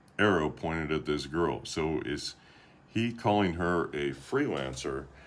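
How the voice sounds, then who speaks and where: Speaking fairly slowly, a man uses a very deep, low pitch with vocal fry. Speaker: YouTuber commentator. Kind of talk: commentary vlog with screen share. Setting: screen-share recording. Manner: monotone.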